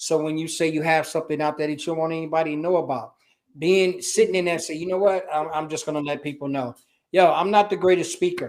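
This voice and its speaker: Talking at a very fast pace with a Chicago accent, a man keeps a fairly even intonation at a fairly high pitch. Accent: Chicago American English. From US, Chicago. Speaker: business culture consultant and army veteran. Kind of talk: interview.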